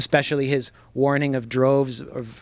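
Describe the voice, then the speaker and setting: Moderately paced, this plain, everyday voice speaks with an American accent. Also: man. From US, Washington DC. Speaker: journalist and author. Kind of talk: book talk to audience. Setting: bookstore with audience.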